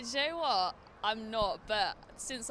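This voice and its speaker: A woman with a London accent, a bright, sharp tone and ordinary pitch variation. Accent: British, London. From England, London. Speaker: student, fan at game. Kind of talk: street interview.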